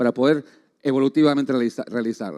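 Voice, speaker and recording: A man talks at a fairly quick pace. The recording is very clean with a silent background and a dry, close sound with no echo. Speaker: agronomy researcher. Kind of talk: conference talk. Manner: fast; halting.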